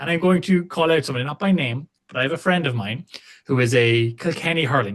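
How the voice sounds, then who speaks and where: A man with an Irish accent, lively intonation and a fairly quick pace. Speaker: rugby podcast host. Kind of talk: casual chat. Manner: animated.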